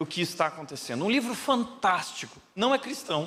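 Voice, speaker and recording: A man's voice carries audible room echo. His pitch swings very widely. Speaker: pastor. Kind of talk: sermon.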